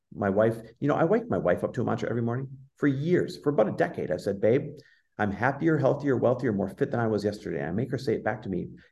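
A man's dark, mellow tone with vocal fry, medium pitch, and a very fast pace. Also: lively intonation. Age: 40s. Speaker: entrepreneur and business coach. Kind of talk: interview conversation. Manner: animated.

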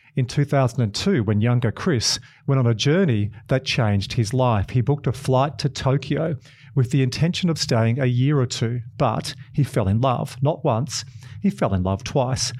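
On a very clean recording with a silent background, a man with an Australian accent speaks in a somewhat breathy, dark, mellow tone at medium pitch with ordinary pitch variation. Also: very even loudness. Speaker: podcast host. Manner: excitable, talks fast when excited.

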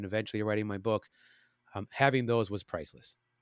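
Speaking at a very fast pace, a man with a medium pitch is heard in a very clean recording with a silent background and a dry, close sound free of echo. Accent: American. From Chicago. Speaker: actor, musician and cancer survivor. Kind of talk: interview.

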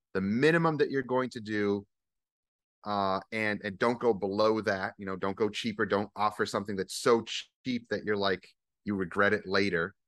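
This man has an unremarkable speaking voice with an American accent, fairly low in pitch and ordinary in pitch variation. He talks at a moderate pace against a quiet background, with a dry, close sound and no echo. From US Northeast. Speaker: auto detailer and business owner. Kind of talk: casual interview.

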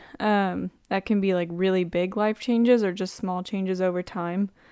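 At a moderate pace, a woman with an unremarkable speaking voice talks at a medium pitch with fairly even intonation, in a very clean recording with a silent background. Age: 20s. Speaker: podcast host. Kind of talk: casual chat.

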